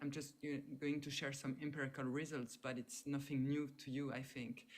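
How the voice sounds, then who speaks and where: A woman with a French accent speaks at a moderate pace in a very deep, low pitch. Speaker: sociologist, professor. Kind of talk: talk in online panel discussion. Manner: halting.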